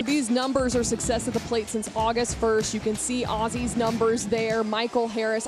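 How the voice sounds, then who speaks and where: With music in the background, a woman speaks at a fairly quick pace and a fairly high pitch. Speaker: sports director and television host. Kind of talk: live college football and baseball panel host. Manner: lively, conversational.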